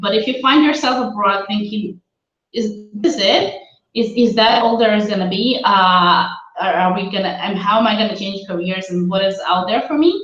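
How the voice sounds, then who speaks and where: A woman speaks at a moderate pace in a medium pitch, with ordinary pitch variation and audible room echo. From Israel. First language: not English; born in Russia, raised in Israel. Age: 30s. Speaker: career coach. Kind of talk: webinar presentation. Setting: live video webinar, laptop. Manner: hesitant with many fillers.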